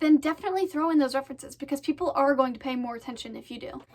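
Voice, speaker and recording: With an American accent, this speaker keeps a fairly even intonation against a quiet background. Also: woman. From Maine, US. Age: young. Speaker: student vlogger. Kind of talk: casual tutorial. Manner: fast; hesitant, many fillers. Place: home room. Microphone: phone near.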